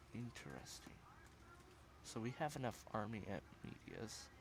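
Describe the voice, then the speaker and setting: A man with a fairly low pitch talks at a fairly slow pace, his intonation lively and his voice showing vocal fry. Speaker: gaming youtuber. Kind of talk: gameplay commentary.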